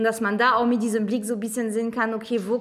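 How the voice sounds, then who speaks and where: This woman speaks at a fairly high pitch. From France. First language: French (speaking German). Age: 30s. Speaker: city councillor. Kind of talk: casual chat.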